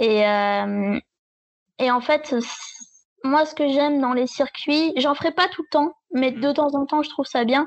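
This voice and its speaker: Speaking very slowly with long, frequent pauses, this woman has a high pitch and ordinary pitch variation. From southern France. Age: 20s. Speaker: travel blogger. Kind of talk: casual chat. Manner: halting.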